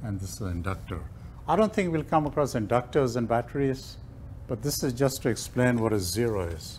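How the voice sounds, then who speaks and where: Lively intonation and a somewhat breathy delivery come at a moderate pace over light background noise. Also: man. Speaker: lecturer. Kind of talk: lecture. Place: classroom.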